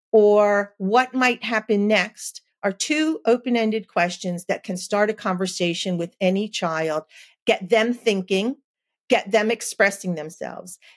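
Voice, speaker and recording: In a very clean recording with a silent background and a dry, close sound with no echo, a woman with an American accent and an unremarkable speaking voice talks fairly slowly at a medium pitch with ordinary pitch variation. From New Jersey, US. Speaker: early education consultant and author. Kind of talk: interview.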